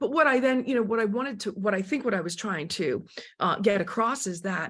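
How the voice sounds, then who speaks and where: This is a plain, everyday voice moving at a fairly quick pace. The intonation is lively. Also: woman, fairly high pitch for a woman. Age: 60s. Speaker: former supermodel and author. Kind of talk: interview.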